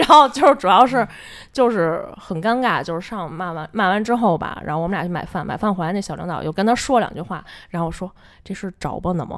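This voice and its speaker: Recorded very cleanly against a silent background, a woman with a medium pitch talks at a very fast pace, her intonation lively and her loudness swinging widely. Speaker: office worker sharing workplace stories. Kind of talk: casual chat. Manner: squeezed, pitched-up voice to disguise identity.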